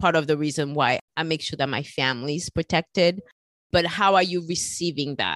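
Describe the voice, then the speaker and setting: A woman with a very deep, low pitch and ordinary pitch variation, at a fairly quick pace. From France. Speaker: podcast host. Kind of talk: interview.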